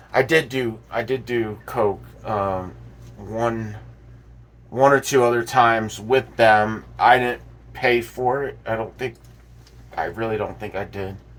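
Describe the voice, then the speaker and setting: At a fairly slow pace and medium pitch, a man speaks with fairly even intonation and long, frequent pauses. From South Florida. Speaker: vlogger. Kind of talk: casual monologue. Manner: halting, many fillers and repeats.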